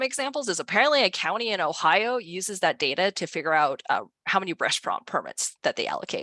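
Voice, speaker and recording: Speaking at a very fast pace with very wide pitch swings, a woman's bright, sharp voice comes through dry and close with no echo over a quiet background. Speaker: author and data privacy expert. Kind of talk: presentation. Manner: animated.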